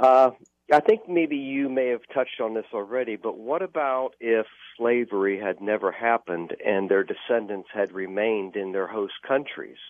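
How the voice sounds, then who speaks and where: This man has an ordinary speaking voice with an American accent. His pitch is medium, its variation ordinary, and his pace moderate. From Florida (Clearwater). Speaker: caller. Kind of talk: casual chat. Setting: phone call.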